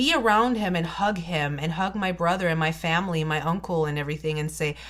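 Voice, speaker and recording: A woman with a non-native accent at a fairly low pitch and ordinary pitch variation, on a very clean recording with a silent background. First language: not English. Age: 30s. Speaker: beauty vlogger. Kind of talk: storytime vlog.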